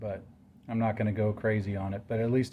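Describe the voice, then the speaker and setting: Somewhat breathy delivery, fairly quick, in a dark and mellow tone. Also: man. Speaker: amateur drag racer and car builder. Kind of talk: DIY garage tutorial. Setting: outdoors at home garage. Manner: monotone.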